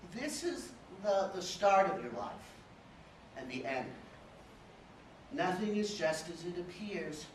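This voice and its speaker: Over noticeable background noise, a man with an American accent speaks at a high pitch with very wide pitch swings. His pace is fairly slow, with long, frequent pauses. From Dallas, Texas. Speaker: poet reading at a literary fellows event. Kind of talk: poetry reading at a live literary event. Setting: live event, audience room.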